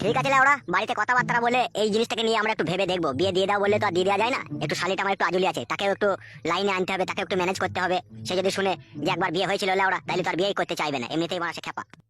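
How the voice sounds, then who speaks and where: In a put-on character voice, a man speaks very fast, gruff and high-pitched, recorded dry and close with no echo. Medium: cartoon. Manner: crude, profane, gruff.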